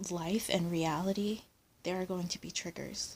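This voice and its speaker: A soft-spoken woman with a fairly low pitch, somewhat breathy and monotone with flat intonation, at a fairly slow pace, in a very clean recording with a silent background. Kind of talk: ASMR soft-spoken vlog. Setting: lying down, handheld camera.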